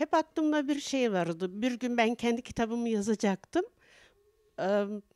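Her high pitch rising and falling in lively intonation, a woman talks at a fairly slow pace, the sound dry with no echo. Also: quiet background. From Turkey, Tokat province; Turkey. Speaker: poet and painter, association head; poet. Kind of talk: interview. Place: home room. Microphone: handheld.

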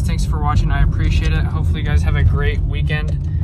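A man at a very fast pace, dry sound with no echo, amid loud background noise. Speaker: electrician vlogger. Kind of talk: casual vlog chat. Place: car. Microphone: phone near.

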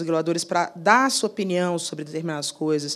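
This woman's voice sits fairly low in pitch. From Brazil. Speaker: lawyer. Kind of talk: panel talk. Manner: hesitant, many fillers. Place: hall. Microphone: handheld.

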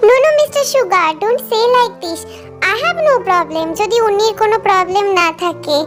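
A woman does a put-on character voice at an extremely high pitch and a fairly quick pace. Clear music plays in the background. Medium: read story.

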